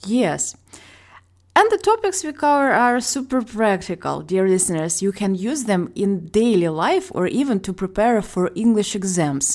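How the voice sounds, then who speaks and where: Speaking at a moderate pace, a woman with a Ukrainian accent uses a medium pitch and lively intonation. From Ukraine. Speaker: ESL teacher, podcast host. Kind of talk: casual educational podcast chat.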